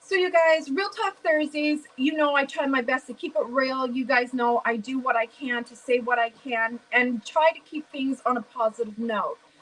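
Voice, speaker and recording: A high-pitched woman with an American accent, hardly any pauses and big swings in loudness, over noticeable background noise. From US Midwest, St. Louis. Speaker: live stream host. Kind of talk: casual chat.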